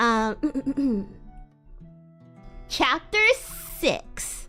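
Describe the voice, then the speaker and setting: Very wide pitch swings from a woman with a high pitch, with music in the background. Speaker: VTuber streamer. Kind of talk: casual chatty talk to stream audience.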